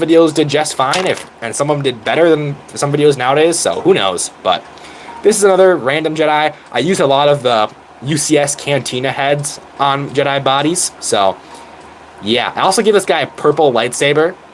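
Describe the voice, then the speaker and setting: Speech at a moderate speed, with ordinary pitch variation, comes through noticeable background noise. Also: man. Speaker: YouTuber. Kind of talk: casual chat. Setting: live stream. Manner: animated.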